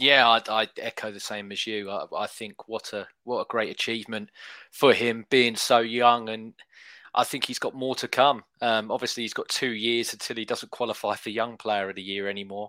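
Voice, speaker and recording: Recorded very cleanly with a silent background and a dry, close sound with no echo, a man with an English accent speaks at a moderate pace and medium pitch in a bright, sharp tone with monotone, flat intonation. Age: 30s. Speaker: football podcast co-host. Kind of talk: casual chat.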